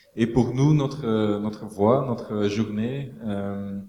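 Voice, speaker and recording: Over noticeable background noise and audible room echo, a man with a Dutch accent speaks very slowly at a medium pitch with fairly even intonation. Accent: Dutch-speaking accent in French. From Belgium, Flanders. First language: Dutch (speaking French). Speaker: architect. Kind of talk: panel discussion. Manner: hesitant, searching for words.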